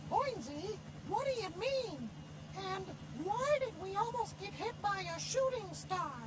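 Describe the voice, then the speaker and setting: Against loud background noise, a cartoonish character voice goes at a fairly slow pace with long, frequent pauses. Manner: quippy, wisecracking.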